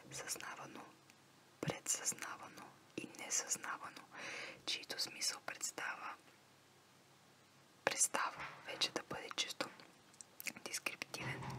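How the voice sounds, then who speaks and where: A woman's whispering at a very slow pace, broken by long, frequent pauses, over noticeable background noise. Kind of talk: ASMR reading of a psychology text. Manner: whispered.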